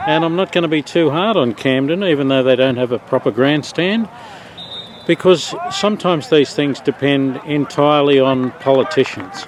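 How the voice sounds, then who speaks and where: With an Australian accent, a man with a fairly high pitch talks at a moderate pace, his loudness very even and his pitch variation ordinary, over noticeable background noise. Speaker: father and videographer. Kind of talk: casual vlog commentary. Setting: outdoors at sports ground.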